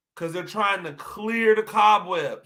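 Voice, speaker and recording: Raised and projected, a man's high voice comes across animated, with a bright, sharp tone. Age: 40s. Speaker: podcast host and football coach. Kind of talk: solo podcast commentary. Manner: repeats words and restarts.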